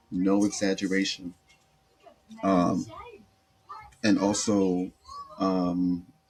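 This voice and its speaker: A man with a very deep, low pitch and an American accent speaks very slowly in a flat monotone, leaving long, frequent pauses. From US East Coast. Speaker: podcast host. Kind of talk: casual monologue. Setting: home recording on laptop.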